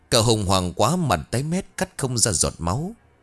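Someone reads aloud in a plain way.

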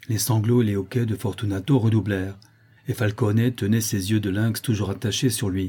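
With fairly even intonation, this is someone reading aloud in a natural voice.

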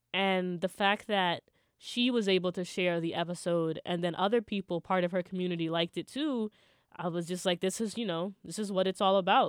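With fairly even intonation, an ordinary speaking voice goes along at a fairly quick pace. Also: woman. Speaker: college radio host. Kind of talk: casual chat.

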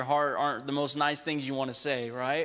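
Speaking fairly quickly in an American accent, the man has a fairly high pitch and a monotone, flat intonation. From Texas. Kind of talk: sermon. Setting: church.

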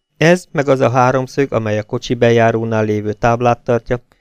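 In plain reading aloud, the speaker holds a fairly even intonation.

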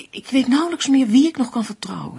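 A woman puts on a character voice that is high-pitched yet dark and mellow in tone, with vocal fry, a husky, rough edge and big pitch swings.

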